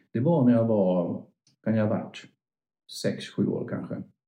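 A man with vocal fry and lively intonation talks at a moderate pace. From northern Sweden, Örnsköldsvik. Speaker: veterinarian. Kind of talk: interview. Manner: halting.

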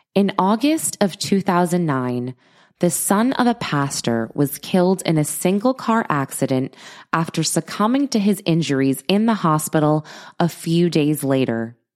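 A woman's fairly low voice, fairly slow and very even in loudness, with very wide pitch swings, on a very clean recording with a silent background. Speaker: investigative podcast host. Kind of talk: investigative narration.

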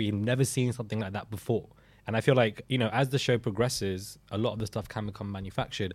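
A man speaks very fast in a British accent, somewhat breathy, with fairly even intonation. The recording is very clean with a silent background. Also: fairly low pitch for a man. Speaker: podcast host. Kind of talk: casual chat.

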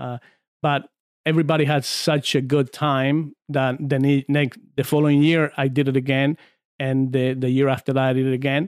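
A man with a Spanish accent at a moderate pace, fairly high in pitch, with monotone, flat intonation, in a dry, close sound with no echo and a very clean recording over a silent background. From Argentina, San Juan. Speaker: former arm wrestler. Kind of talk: casual chat. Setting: studio.

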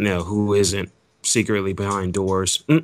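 An unremarkable speaking voice from a man with an American accent, fairly low in pitch and at a moderate pace, in a very clean recording with a silent background. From Jacksonville, Florida. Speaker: rapper and radio host. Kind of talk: casual interview.

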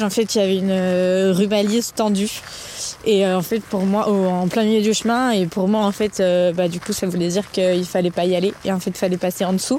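Her medium-pitched voice has fairly even intonation and very even loudness at a moderate pace. Noticeable background noise sits behind the woman. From Lyon, France. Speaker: trail runner and lawyer. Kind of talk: casual interview. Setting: at home.

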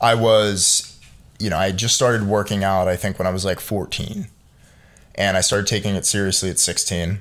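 Here a man with a Philadelphia accent talks at a fairly quick pace. His pitch is fairly low and his intonation flat and monotone. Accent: American, Philadelphia. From Philadelphia, US. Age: 20s. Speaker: entrepreneur. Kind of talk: casual chat.

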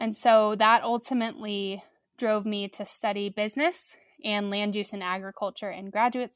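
A woman with an American accent talks at a moderate pace in a normal speaking voice, medium in pitch with fairly even intonation, in a dry, close, very clean recording with a silent background and no echo. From US Midwest, southern Missouri Ozarks. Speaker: agtech startup co-founder. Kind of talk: interview.

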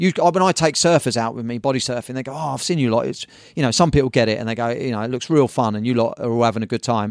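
A man with a southern English accent and a medium pitch talks at a very fast pace, varying his pitch in an ordinary way. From southern England, Brighton. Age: 50s. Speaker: surf magazine publisher and surf shop owner. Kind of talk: casual chat.

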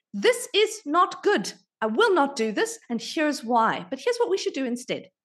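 This woman speaks with very wide pitch swings. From South Africa. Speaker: marketing leader and board member. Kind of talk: interview conversation.

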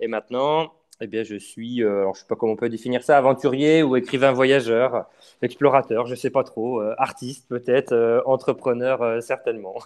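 This man has a normal speaking voice, pitched in the medium range with fairly even intonation. He keeps a moderate pace, though his loudness swings widely. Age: 30s. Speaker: adventurer and travel writer. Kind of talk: interview.

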